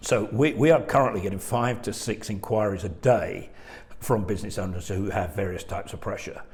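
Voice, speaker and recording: A man talks at a fairly quick pace, his voice fairly low and somewhat breathy. His pitch varies in an ordinary way, and the room echo is audible. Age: 60s. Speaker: insolvency firm chairman. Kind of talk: webinar presentation. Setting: video webinar.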